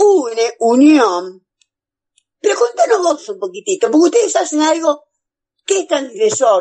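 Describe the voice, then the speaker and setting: Speaking at a very slow pace with long, frequent pauses, a man uses an extremely high pitch with very wide swings and a dark, mellow tone. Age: 50s. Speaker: radio host. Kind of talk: radio interview.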